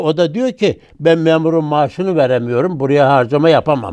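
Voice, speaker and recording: Pitched fairly high, a man speaks with a dark, mellow tone. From Turkey, Ankara. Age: 80s+. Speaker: former member of parliament. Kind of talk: oral history interview. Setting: studio.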